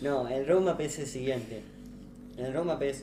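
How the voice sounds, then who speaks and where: Over music in the background and with audible room echo, a man with a Rioplatense accent speaks at a moderate pace in a medium pitch with fairly even intonation. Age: 20s. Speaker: crypto startup founder. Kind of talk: podcast interview. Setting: live stream.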